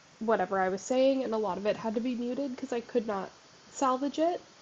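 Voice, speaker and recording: A woman's fairly high voice shows ordinary pitch variation while noticeable background noise carries on behind her. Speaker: gaming youtuber. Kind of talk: casual gameplay commentary. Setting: home desk recording. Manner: fast.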